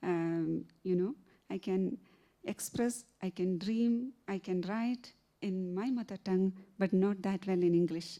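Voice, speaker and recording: Her voice is medium in pitch with a dark, mellow tone as this woman talks at a fairly slow pace. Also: ordinary pitch variation. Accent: Keralan. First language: Malayalam. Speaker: novelist. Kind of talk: literary festival conversation. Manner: halting, many fillers.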